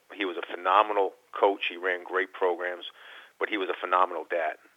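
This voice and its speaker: A man speaks at a fairly quick pace. His voice is very deep and low in pitch. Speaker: college basketball coach. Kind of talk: radio interview. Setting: phone call.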